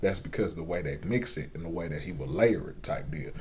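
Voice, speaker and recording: In an American accent, a man talks at a fairly quick pace with vocal fry and a dark, mellow tone, and audible room echo surrounds him. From Indiana, US Midwest. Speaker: rapper and singer. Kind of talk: casual interview. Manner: animated.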